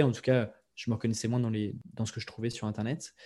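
Fairly even in intonation, a man's voice has a dark, mellow tone. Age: 20s. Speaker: copywriter and podcaster. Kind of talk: interview.

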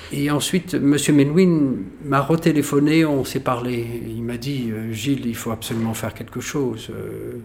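With ordinary pitch variation, a man talks at a very slow pace amid noticeable background noise. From Algeria (pied-noir family). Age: 50s. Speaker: violinist. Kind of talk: casual storytelling interview. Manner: animated.

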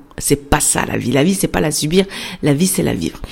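A woman is speaking with noticeable background noise. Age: 40s. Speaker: podcast host, entrepreneur. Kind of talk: casual monologue. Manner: fast; spontaneous, hesitant.

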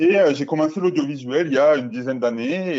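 At a moderate pace, a man with a fairly high voice and ordinary pitch variation speaks in an unremarkable speaking voice. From southern France, Albi. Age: 30s. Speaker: portrait photographer. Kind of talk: interview.

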